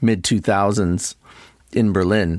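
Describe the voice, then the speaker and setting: A man with a Canadian accent and an ordinary speaking voice talks at a moderate pace in a fairly low pitch, with ordinary pitch variation. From Toronto, Canada. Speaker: DJ and record producer. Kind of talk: casual interview chat.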